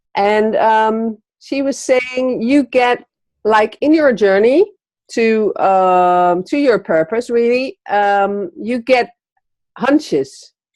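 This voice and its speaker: A woman with a Dutch accent speaks very slowly. Her intonation is lively. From Netherlands. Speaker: entrepreneur, magazine publisher. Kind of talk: interview. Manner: halting, many fillers.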